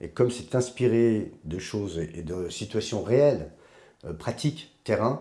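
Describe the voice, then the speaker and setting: This man's voice has a dark, mellow tone and sits fairly low in pitch. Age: 60s. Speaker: life coach and adventurer. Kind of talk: interview.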